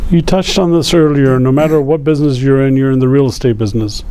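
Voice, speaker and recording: Over noticeable background noise, a man with a fairly high pitch talks at a very fast pace, using ordinary pitch variation. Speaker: real estate agent. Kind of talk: interviewer at lunch talk.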